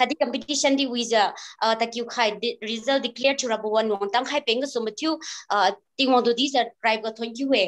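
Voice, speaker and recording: A woman talks fairly quickly with a Northeast Indian accent and a fairly high pitch. Her intonation is fairly even against a quiet background. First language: Liangmai. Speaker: event organizer; event host. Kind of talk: formal speech. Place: home room. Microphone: video call.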